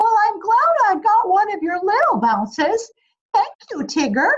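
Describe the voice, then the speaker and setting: A squeaky, put-on character voice at a moderate pace, full of very wide pitch swings. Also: woman, extremely high pitch for a woman. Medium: read story. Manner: timid, meek.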